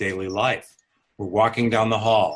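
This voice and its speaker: Calm in tone, a man speaks with a fairly low pitch and fairly even intonation. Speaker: physician and author. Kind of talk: interview.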